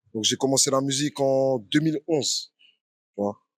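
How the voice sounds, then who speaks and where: Recorded dry and close with no echo, a man speaks at a fairly slow pace with medium pitch and ordinary pitch variation. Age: 30s. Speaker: professional boxer and former rapper. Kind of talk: podcast interview. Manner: casual, many fillers.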